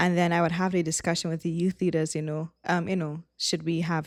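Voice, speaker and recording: Someone speaks with a Trinidadian accent at a moderate pace, on a very clean recording with a silent background. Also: woman. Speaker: former youth pastor, missionary. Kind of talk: casual chat.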